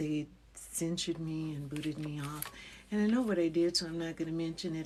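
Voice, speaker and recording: A woman speaks at a moderate pace with very deep, low pitch. Her tone is dark and mellow, and her intonation fairly even. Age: 70s. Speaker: wellness psychologist and spiritual livestreamer. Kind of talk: casual livestream talk to viewers. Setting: livestream.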